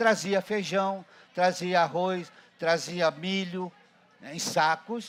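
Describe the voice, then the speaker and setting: A man with a high pitch and a very slow pace. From Brazil, Paraty (Rio de Janeiro state coast). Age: 70s. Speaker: ceramist. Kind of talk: storytelling talk at a ceramics event. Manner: halting, with repetitions.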